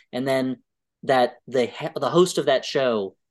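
A man with an American accent talks at a fairly high pitch against a quiet background. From US. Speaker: comedy writer. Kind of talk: casual chat.

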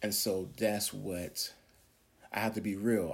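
Over a very clean recording with a silent background, a man speaks at a fairly slow pace and fairly low pitch. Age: 40s. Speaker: podcast preacher. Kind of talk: sermon-style monologue. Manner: animated.

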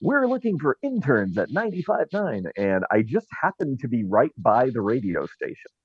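Fairly slow and with hardly any pauses, a man speaks in a fairly high pitch with vocal fry. His pitch swings very widely. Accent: American. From Southern California (Orange County). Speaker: talk radio host. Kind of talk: casual interview chat. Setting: Clubhouse audio room.

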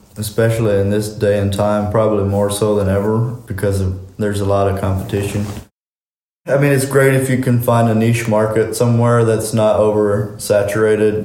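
With audible room echo, a man speaks in a fairly low pitch and a dark, mellow tone, his intonation monotone and flat and his loudness very even. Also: moderate pace. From US Mennonite community. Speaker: construction business owner. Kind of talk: interview.

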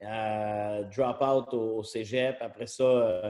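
Dark and mellow in tone, a man's voice stays monotone and flat in intonation. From Quebec, Trois-Rivières. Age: 40s. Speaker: serial entrepreneur. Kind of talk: casual interview.

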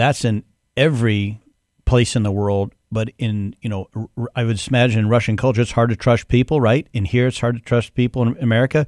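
In an ordinary speaking voice, a man of medium pitch talks at a fairly quick pace with fairly even intonation, in a dry, close sound with no echo. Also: very clean recording, silent background. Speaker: podcast host and accountant. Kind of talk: casual interview. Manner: jokey, playful.

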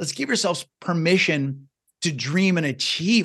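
An energetic man with a high voice and an American accent, ordinary pitch variation, moderate pace and a quiet background. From US Midwest, small-town Iowa. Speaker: success coach and podcaster. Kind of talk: podcast interview.

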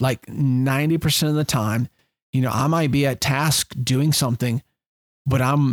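Dry and close with no echo, the recording captures a man with an unremarkable speaking voice, medium pitch and a moderate pace. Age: 40s. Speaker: fishing guide and podcast host. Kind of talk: solo podcast monologue. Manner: casual with many fillers.

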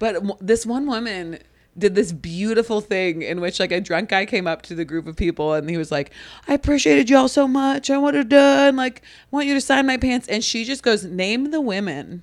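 At a fairly quick pace, a woman talks in a fairly high pitch with very wide pitch swings. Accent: Midwestern American. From US Midwest (Ohio). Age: 30s. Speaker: comedian and graphic designer. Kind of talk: casual chat. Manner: animated.

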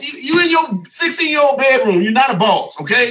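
A man speaks in a raised, projected voice at a fairly quick pace. His intonation is lively, and there is noticeable background noise. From US South. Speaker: mentor and relationship speaker. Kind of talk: casual podcast chat.

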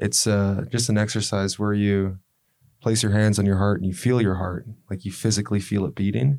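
A man speaks at a fairly quick pace in a fairly low pitch, with ordinary pitch variation and an ordinary speaking voice. The recording is very clean, with a silent background. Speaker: podcast host. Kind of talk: casual interview.

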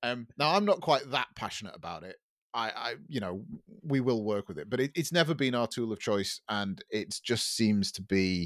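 Here a man of medium pitch talks at a moderate pace with very wide pitch swings and big swings in loudness, in dry, close sound with no echo. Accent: English. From England. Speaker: podcast co-host, web developer. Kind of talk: casual chat. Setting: remote call.

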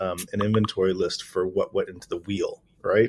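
A man speaks with an American accent. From US Midwest, Detroit, Michigan. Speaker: software security company founder. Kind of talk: casual interview.

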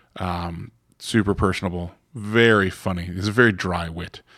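Over a silent background, a man with an American accent speaks in a very deep, low voice. The recording is very clean. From Florida. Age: 30s. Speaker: comic shop owner. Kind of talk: casual interview. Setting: in a comic shop.

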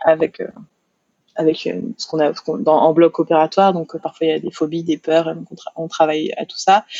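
A woman talks at a moderate pace with a fairly low pitch and a monotone, flat intonation. She takes long, frequent pauses. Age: 30s. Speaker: hypnotherapist. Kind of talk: interview. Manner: halting, many repetitions and fillers.

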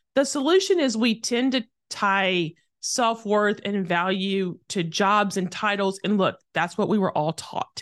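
In a normal speaking voice with an American accent, a woman talks at a moderate pace and medium pitch with lively intonation, the sound dry and close with no echo over a quiet background. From rural Tennessee, US South. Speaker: author, speaker and former lobbyist. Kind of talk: interview.

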